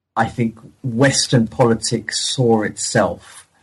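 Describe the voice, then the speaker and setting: A somewhat breathy man at a medium pitch and a very slow pace, against a quiet background. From partly French, raised bilingual. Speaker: historian. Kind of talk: interview about his book. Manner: hesitant with frequent repetitions.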